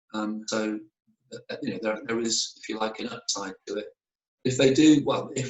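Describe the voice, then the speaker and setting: At a moderate pace, a man speaks with a British accent. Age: 60s. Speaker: mission worker. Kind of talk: casual chat. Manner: hesitant, many fillers.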